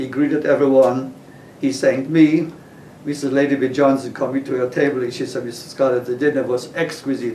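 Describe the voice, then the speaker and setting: Speaking at a fairly quick pace, a man with a medium-pitched voice keeps a monotone, flat intonation while audible room echo and noticeable background noise surround him. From Poland. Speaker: interviewee, retired chef. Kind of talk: oral history interview.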